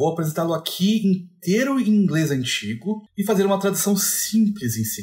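A man speaks at a moderate pace. Nothing can be heard behind him. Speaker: literature educator. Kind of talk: lecture. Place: home room.

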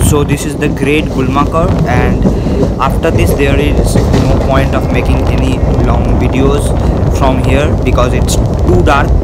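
Music plays in the background as the speech unfolds at a fairly slow pace. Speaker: train travel vlogger. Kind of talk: casual travel commentary. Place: train. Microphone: phone near.

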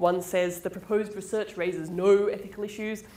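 Ordinary pitch variation in a female voice. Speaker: presenter. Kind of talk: lecture. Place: hall.

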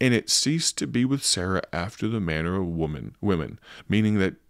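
A man speaks in a very deep, low pitch with a warm tone. The sound is dry with no echo over a quiet background. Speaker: radio broadcaster and Bible preacher. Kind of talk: Bible reading and devotional radio talk. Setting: studio. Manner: conversational, warm. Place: home room. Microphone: studio mic.

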